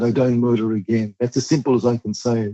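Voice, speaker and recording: Here we hear a man. His accent is Australian. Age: 60s. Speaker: youth justice advocate. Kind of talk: interview. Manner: emphatic, repetitive.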